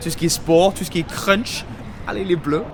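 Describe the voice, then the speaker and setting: A man's high-pitched voice moves at a moderate speed, with clear background noise behind it. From England. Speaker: English teacher. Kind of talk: casual talk to camera. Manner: upbeat.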